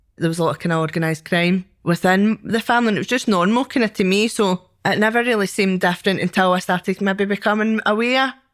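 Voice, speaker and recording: A woman with a Scottish accent at a very fast pace, on a very clean recording with a silent background. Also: very even loudness. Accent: Scottish (Ayrshire). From Scotland, Ayrshire. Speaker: former prisoner. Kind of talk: testimony.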